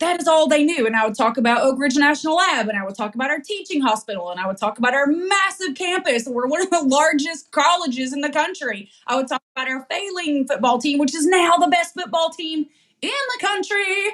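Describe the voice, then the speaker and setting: A woman with a slight Southern US accent speaks at a high pitch in an animated tone, her pitch swinging very widely. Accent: slight Southern drawl. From East Tennessee (Knoxville). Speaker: podcast host. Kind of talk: casual interview chat.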